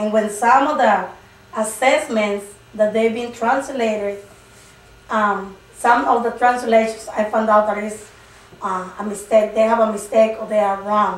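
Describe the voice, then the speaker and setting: A woman with a Spanish accent speaks at a fairly slow pace with fairly even intonation, amid noticeable background noise and audible room echo. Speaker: preschool migrant teacher. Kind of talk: interview. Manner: halting.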